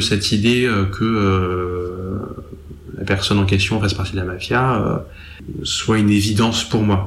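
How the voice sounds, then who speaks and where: The pitch variation is ordinary. Audible room echo surrounds the voice. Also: man. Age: 20s. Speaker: young man with psychosis history. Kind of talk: testimony. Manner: halting.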